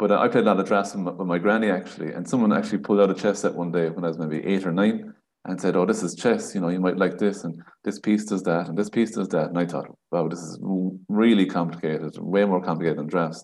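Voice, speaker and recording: Very fast, this man talks with an Irish accent at a very deep, low pitch. His intonation is fairly even. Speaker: primary school teacher and chess organiser. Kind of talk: casual interview chat.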